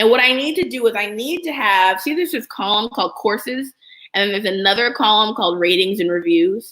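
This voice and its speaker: A woman speaks in a fairly high voice with lively intonation. Her tone is bright and sharp. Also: fairly quick pace. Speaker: app business educator, livestreamer. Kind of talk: live screen-share tutorial. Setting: live stream. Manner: casual, conversational; fast.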